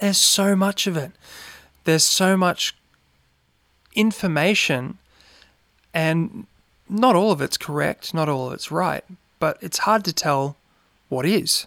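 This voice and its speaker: A man's high-pitched voice with an Australian accent, fairly slow pace, ordinary pitch variation, long and frequent pauses, and a very clean recording over a silent background. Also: dry, close sound with no echo. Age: 30s. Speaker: podcast host. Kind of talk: casual monologue.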